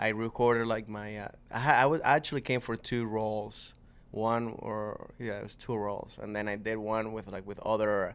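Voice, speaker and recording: Speaking at a moderate pace with a Venezuelan accent, a man uses monotone, flat intonation and a fairly low pitch, with big swings in loudness, in a very clean recording with a silent background. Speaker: comedian. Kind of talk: casual chat.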